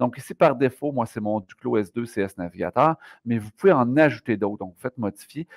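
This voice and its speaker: Lively intonation marks this man's speech over a quiet background. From Quebec. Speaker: math teacher; educator giving software tutorial. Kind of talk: tutorial. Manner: fast.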